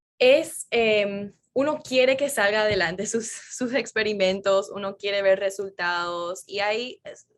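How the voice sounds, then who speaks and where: A woman with an American accent speaks at medium pitch with ordinary pitch variation. Her pace is fairly slow with hardly any pauses, on a very clean recording with a silent background. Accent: americanized Spanish, Spanglish. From Florida, US, Paraguayan parents. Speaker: neuroscientist. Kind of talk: interview conversation.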